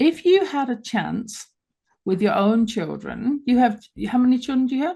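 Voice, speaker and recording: Speaking at a moderate pace with a London accent, a woman has a high pitch and a dark, mellow tone. Her pitch swings very widely. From London, England. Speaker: radio talk show host. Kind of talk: radio interview. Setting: live radio show.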